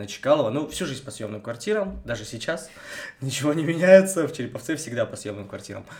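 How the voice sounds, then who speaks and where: With lively intonation and an unremarkable speaking voice, a man talks at a fairly quick pace. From Russia, Vologda region (Cherepovets area). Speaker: podcast co-host. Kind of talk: casual chat.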